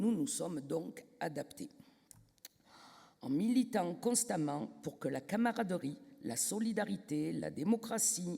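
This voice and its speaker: Spoken at a very slow pace with a southern French accent, the voice leaves long, frequent pauses. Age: 60s. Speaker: trade union delegate. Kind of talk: congress speech. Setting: stage with audience, microphone.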